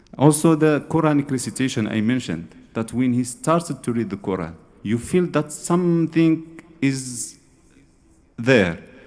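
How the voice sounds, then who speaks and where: Lively intonation at a moderate pace, with an Arabic accent. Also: man, medium pitch for a man. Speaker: Sufi scholar, lecturer. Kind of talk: lecture. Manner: halting, repeats words.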